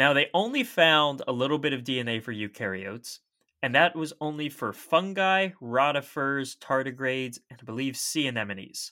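A man with an American accent speaks in a plain, everyday voice at a fairly high pitch and a moderate pace. His pitch varies in an ordinary way, while his loudness swings widely. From Maryland. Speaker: podcast host. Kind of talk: casual chat about science.

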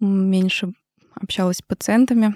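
A woman speaks with a dark, mellow tone and fairly even intonation at a fairly slow pace. The recording is very clean, with a silent background. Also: dry, close sound with no echo. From Russia, Moscow. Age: 30s. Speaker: maxillofacial surgeon. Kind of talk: interview.

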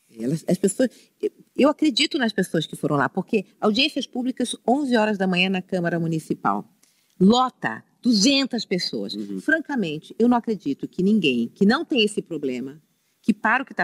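A woman at medium pitch with vocal fry and very wide pitch swings, dry and close with no echo. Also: moderate pace. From Rio de Janeiro, Brazil (Penha). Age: 60s. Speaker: city councillor, former bank executive. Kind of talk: casual interview chat.

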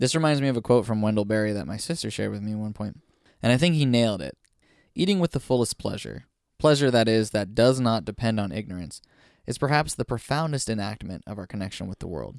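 Very fast speech with lively intonation and an animated tone. The sound is dry and close with no echo, on a very clean recording over a silent background. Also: man, medium pitch for a man. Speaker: podcast host. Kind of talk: casual banter podcast chat. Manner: animated, joking.

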